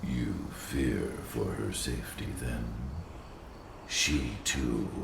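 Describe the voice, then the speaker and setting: Against loud background noise and a slight echo, a man does a put-on character voice at a very slow pace. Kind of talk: solemn mystical speech. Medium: video game. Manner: grave, measured.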